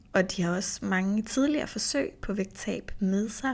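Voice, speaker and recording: On a very clean recording with a silent background, a somewhat breathy voice moves at a very slow pace. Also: woman. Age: 30s. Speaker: nutrition coach and podcast host. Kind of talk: solo podcast monologue. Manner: casual, with filler sounds.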